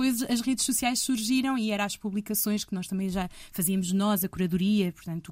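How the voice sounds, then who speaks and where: Speaking at a fairly quick pace, a woman uses a medium pitch with ordinary pitch variation and a somewhat breathy quality. The recording is very clean with a silent background, and the sound is dry and close with no echo. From Portugal. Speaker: radio host. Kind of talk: casual chat.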